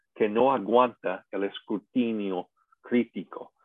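A man speaks with an English accent. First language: English (speaking Spanish). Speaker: pastor and seminar teacher. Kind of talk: lecture.

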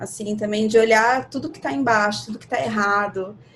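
At a moderate pace, the voice sounds somewhat breathy. Pitch variation is ordinary. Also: woman. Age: 30s. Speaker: astrology guest. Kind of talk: casual chat.

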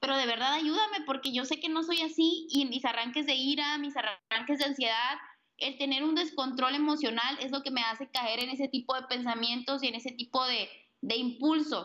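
Her voice is raised and projected, a woman's high pitch carrying a bright, sharp tone. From Sonora, northern Mexico. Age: 20s. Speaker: author and suicide prevention advocate. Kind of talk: interview. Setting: Skype call.

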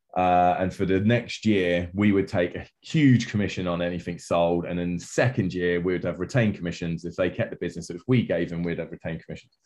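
Against a quiet background, a man with a southern English accent talks at a fairly quick pace in a very deep, low pitch, with fairly even intonation and hardly any pauses. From southern England (Portsmouth). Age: 40s. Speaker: events company founder and CEO. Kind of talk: interview.

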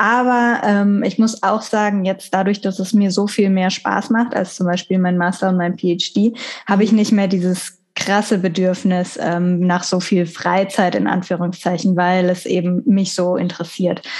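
At a fairly slow pace and over a quiet background, a woman speaks in an unremarkable speaking voice, medium-pitched with fairly even intonation. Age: 30s. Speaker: marine biologist. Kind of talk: casual interview.

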